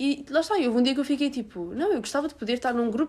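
A woman talks at a very fast pace. Her pitch is high and her intonation lively. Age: young. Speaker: podcast host. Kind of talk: casual chat.

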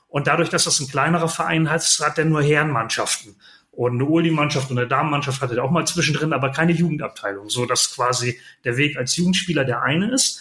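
Talking at a very fast pace, a man with a fairly high pitch and a bright, sharp tone keeps his loudness very even and his pitch variation ordinary. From northern Germany, near Bremen (Lower Saxony). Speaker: podcaster and club press officer. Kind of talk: interview conversation. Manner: hesitant fillers (äh, ähm).

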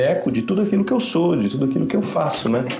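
Through audible room echo and noticeable background noise, a man talks at a very fast pace with very wide pitch swings. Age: 40s. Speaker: guitarist. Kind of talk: casual chat.

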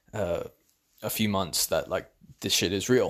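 With a British accent and a relaxed tone, a man speaks at a moderate pace in a very clean recording with a silent background. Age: 20s. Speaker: podcaster. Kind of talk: casual monologue. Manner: relaxed, frequent fillers and laughs.

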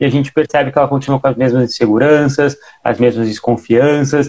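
An ordinary speaking voice from a man, fairly high-pitched and fairly quick, with fairly even intonation. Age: 20s. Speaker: podcast co-host and personal trainer. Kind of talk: casual chat. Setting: live stream on Instagram.

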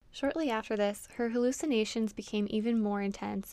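A woman with a plain, everyday voice speaks at a moderate pace and fairly high pitch, her intonation fairly even, on a very clean recording with a silent background. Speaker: podcast host. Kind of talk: true-crime narration, scripted-sounding, read steadily in a serious storytelling tone. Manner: measured, solemn, even-paced, somewhat monotone and matter-of-fact.

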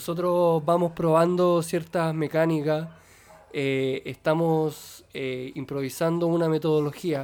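In a Chilean accent, a man speaks at a very slow pace with monotone, flat intonation and a fairly high pitch. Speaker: podcast host. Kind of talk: casual chat.

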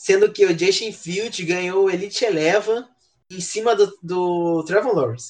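A man with a high voice and ordinary pitch variation talks at a fairly slow pace. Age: 20s. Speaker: podcast guest, NFL fan. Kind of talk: casual chat.

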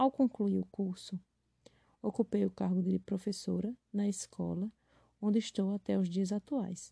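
With a Paraíba accent, a woman at medium pitch speaks at a moderate pace in a dark, mellow, somewhat breathy tone, recorded dry and close with no echo. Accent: northeastern Brazilian Portuguese (Paraíba). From Brazil, Paraíba (Esperança). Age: 20s. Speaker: primary school teacher. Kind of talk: prepared self-introduction.

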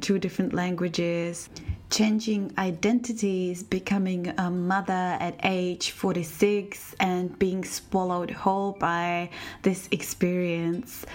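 Amid noticeable background noise, a woman speaks very slowly in a flat monotone. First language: Czech. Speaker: podcast host. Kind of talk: scripted podcast intro.

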